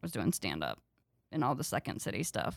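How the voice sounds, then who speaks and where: With vocal fry and a Southern US accent, a woman speaks on a very clean recording with a silent background. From North Carolina, US South. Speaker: comedian. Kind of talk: casual chat.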